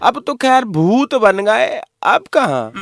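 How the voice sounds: With faint music behind him, a man in a put-on character voice talks slowly at a high pitch, swinging widely up and down.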